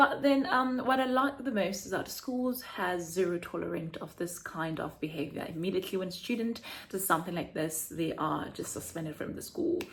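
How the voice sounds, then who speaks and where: With hardly any pauses, a woman speaks in very wide pitch swings over noticeable background noise. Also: medium pitch for a woman, moderate pace. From South Africa. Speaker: teacher and vlogger. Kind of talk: casual vlog monologue. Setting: home apartment. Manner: animated.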